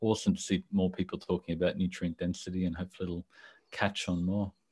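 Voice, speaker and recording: Very fast speech with an Australian accent, a quiet background and a dry, close sound with no echo. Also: man. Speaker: civil engineer and nutrition blogger. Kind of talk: interview.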